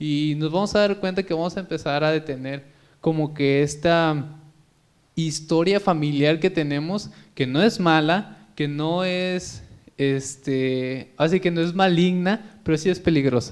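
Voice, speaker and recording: A man with an unremarkable speaking voice talks at a fairly slow pace. His pitch is fairly high with ordinary variation, and the background is quiet. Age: 20s. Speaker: podcast host. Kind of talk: casual chat.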